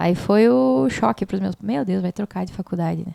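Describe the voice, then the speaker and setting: Recorded with a dry, close sound and no echo, a woman talks fairly quickly in a dark, mellow tone, her pitch swinging very widely. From southern Brazil, Passo Fundo (Rio Grande do Sul). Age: 30s. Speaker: singer and music school owner. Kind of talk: interview.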